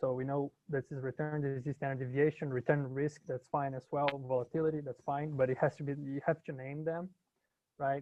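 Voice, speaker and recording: Monotone, flat intonation marks this man's delivery. He talks at a fairly quick pace and a fairly high pitch. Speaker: university instructor. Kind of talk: lecture. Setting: video call. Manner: halting.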